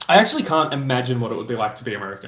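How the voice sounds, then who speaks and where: Speaking with an Australian accent, a man talks at medium pitch with ordinary pitch variation. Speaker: streamer reading chat.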